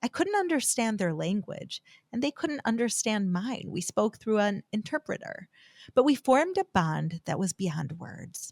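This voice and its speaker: A woman's somewhat breathy, fairly high voice with an American accent, at a moderate pace, with very wide pitch swings, in a dry, close sound with no echo. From United States. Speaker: podcast host. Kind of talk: podcast monologue.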